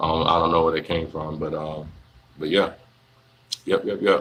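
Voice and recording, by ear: With a fairly bright tone and little pitch movement, a man talks at a moderate pace in an extremely low pitch.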